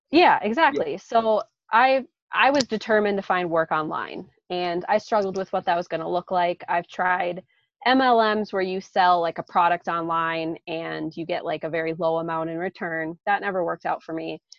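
Her unremarkable speaking voice, at medium pitch and moderate pace, shows ordinary pitch variation as the woman talks. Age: 30s. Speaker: full-time traveler and online entrepreneur. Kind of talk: casual interview.

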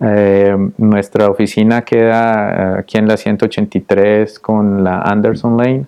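At a very slow pace, the voice holds a monotone, flat intonation and very even loudness in a dark, mellow tone. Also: man, fairly low pitch for a man. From Colombia, Popayán. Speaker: dentist and business owner. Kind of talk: interview conversation. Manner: halting with repetitions.

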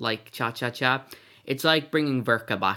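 A man's tone is bright and sharp. The recording is very clean and the background silent. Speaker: podcast host. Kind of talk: casual chat.

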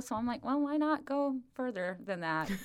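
In an American accent, a woman speaks at a fairly slow pace with a fairly high pitch. Hers is a plain, everyday voice with ordinary pitch variation. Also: very clean recording, silent background. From US Midwest. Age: 40s. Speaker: running coach. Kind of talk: casual chat. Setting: in person.

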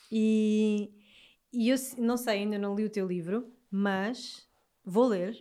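A woman with a fairly high pitch and a dark, mellow tone speaks at a very slow pace in a monotone, flat intonation with long, frequent pauses. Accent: Alentejo. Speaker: podcast host. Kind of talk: casual chat.

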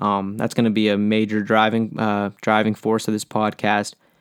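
On a very clean recording with a silent background and a dry, close sound with no echo, a man with an American accent uses an ordinary speaking voice at a fairly low pitch and a moderate pace. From Pittsburgh, Pennsylvania. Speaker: music podcast host. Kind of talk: solo podcast monologue. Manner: casual, many filler words.

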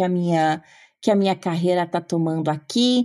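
In a very clean recording with a silent background, a woman speaks at a fairly slow pace. Her tone is dark and mellow. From Brazil, Paraná. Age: 30s. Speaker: political scientist. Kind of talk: interview conversation.

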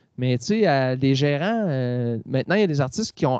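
A man with a fairly high voice speaks at a moderate pace with lively intonation, and the sound is dry and close with no echo. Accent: Quebec. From Quebec, Quebec City area. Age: 40s. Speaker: singer-songwriter. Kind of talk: interview.

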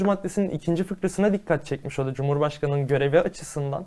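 A man's dark, mellow voice at a very fast pace, with ordinary pitch variation. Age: 20s. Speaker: law student and activist. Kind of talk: interview.

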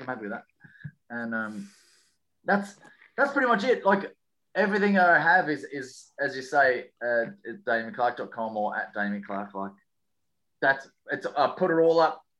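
Man with an Australian accent, a bright, sharp, fairly high voice, very wide pitch swings, moderate pace and long, frequent pauses, against a quiet background. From Western Australia. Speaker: comedian. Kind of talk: casual chat.

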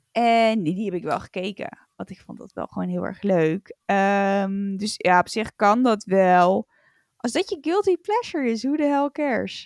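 In a normal speaking voice, a woman talks at a fairly slow pace with a fairly high pitch, lively intonation and big swings in loudness. The recording is very clean, with a silent background and a dry, close sound with no echo. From Netherlands. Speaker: podcast co-host. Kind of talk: casual chat.

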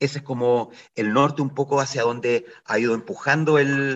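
Here a man talks at a moderate pace. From Chile, Ovalle (Coquimbo region). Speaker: actor and theatre director. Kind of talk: radio interview. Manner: halting, many repetitions and fillers.

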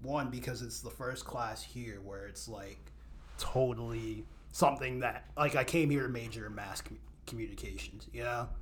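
A man with an American accent talks at a moderate pace, his loudness swinging widely. Background noise is noticeable. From Maryland (Odenton). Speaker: lacrosse writer and content creator. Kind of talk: casual podcast interview.

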